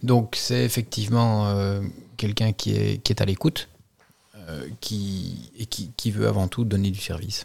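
Lively intonation marks this man's speech at a fairly slow pace. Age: 40s. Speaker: insurance broker and business owner. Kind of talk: interview.

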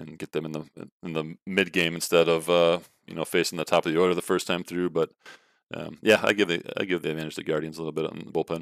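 In an American accent, the voice goes very fast with monotone, flat intonation and big swings in loudness, in a dry, close sound with no echo. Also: man, very deep, low pitch for a man. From US Midwest, Chicago suburbs. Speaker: former college pitcher. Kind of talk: casual chat. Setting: remote call. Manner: hesitant, many fillers.

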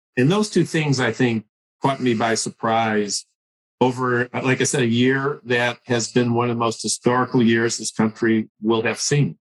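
A man with an unremarkable speaking voice talks at a medium pitch and moderate pace, intonation fairly even, in a dry, close sound with no echo. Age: 60s. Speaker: physician and patient safety leader. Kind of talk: interview.

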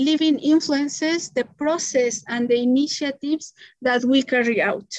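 A woman's high voice with a Spanish accent, at a fairly slow pace with ordinary pitch variation, in a dry, close sound with no echo. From Mexico City. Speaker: economist and community currency promoter. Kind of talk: interview. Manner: halting.

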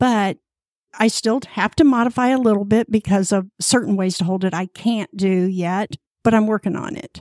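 A woman talks in an unremarkable speaking voice at a medium pitch and a moderate pace, with ordinary pitch variation. The recording is very clean, with a silent background and a dry, close sound with no echo. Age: 60s. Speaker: fitness group member. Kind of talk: interview.

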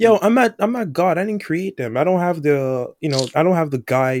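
A plain, everyday voice from a man, fairly high-pitched and lively in intonation, at a fairly quick pace with hardly any pauses, on a very clean, dry, close recording with a silent background and no echo. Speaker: podcast co-host. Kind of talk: casual banter podcast.

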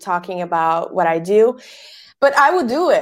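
A woman with a Bosnian accent on a very clean recording with a silent background. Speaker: podcast agency founder. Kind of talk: interview.

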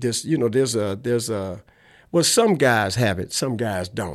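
A man with a fairly low pitch speaks at a fairly quick pace. The recording is very clean, with a silent background. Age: 60s. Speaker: ex-pimp and nonprofit director. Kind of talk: interview conversation. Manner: halting, hesitant with filler words.

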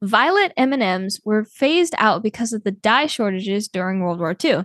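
An ordinary speaking voice with lively intonation comes through against a quiet background. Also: woman. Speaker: podcast co-host, daughter of the other host.

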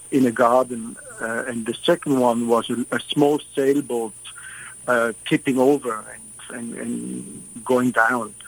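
Noticeable background noise surrounds a man speaking. His pitch is medium and his intonation fairly even. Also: dry, close sound with no echo. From Switzerland. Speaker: photographer. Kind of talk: radio interview. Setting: radio interview.

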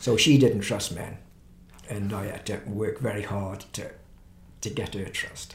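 There is audible room echo around a man speaking at a fairly slow pace with long, frequent pauses. His fairly low voice swings widely in loudness. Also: ordinary pitch variation. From England, Stoke-on-Trent. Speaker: pastor. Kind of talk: interview testimony.

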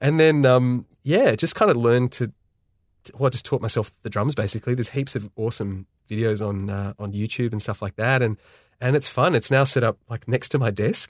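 A man with an Australian accent talks at a fairly quick pace and medium pitch, with ordinary pitch variation. The sound is dry and close with no echo, on a very clean recording with a silent background. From Australia, Sydney. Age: 30s. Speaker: video director and production company owner. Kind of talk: podcast interview.

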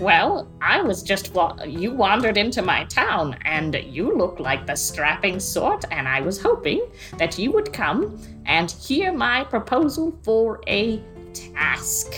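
A female-sounding, put-on character voice at a fairly slow pace, with clear music in the background. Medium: actual play. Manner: eager, insistent.

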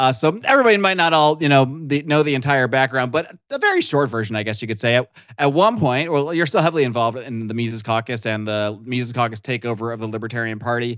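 A man talks at a very fast pace with ordinary pitch variation, on a very clean recording with a silent background. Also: medium pitch for a man, hardly any pauses. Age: 40s. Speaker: podcast host. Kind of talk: casual chat.

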